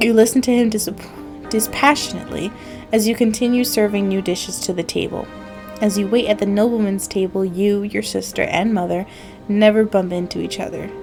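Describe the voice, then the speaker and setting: A woman talks at a fairly quick pace with fairly even intonation while music plays in the background. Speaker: gaming YouTuber. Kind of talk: let's play commentary and reading game text aloud.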